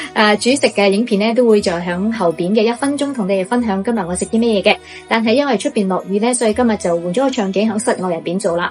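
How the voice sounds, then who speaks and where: A woman's fairly high voice, varying in pitch in an ordinary way, comes over music in the background. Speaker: YouTube host, storyteller. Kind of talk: casual ghost story told to camera. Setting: poor microphone recording.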